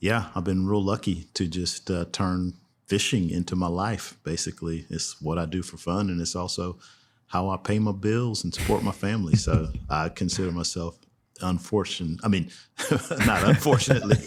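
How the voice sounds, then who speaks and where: With a Texan accent and a relaxed tone, a man speaks in a very deep, low pitch with ordinary pitch variation, in a very clean recording with a silent background. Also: moderate pace. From Texas, Houston. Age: 60s. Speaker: fly fishing guide. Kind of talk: podcast interview. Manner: relaxed, conversational.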